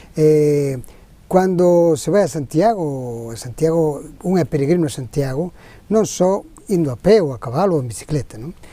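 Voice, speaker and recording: Pitched fairly high, the man's voice has a dark, mellow tone and lively intonation. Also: moderate pace. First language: Galician (speaking Portuguese). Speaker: pilgrimage route expert. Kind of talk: interview.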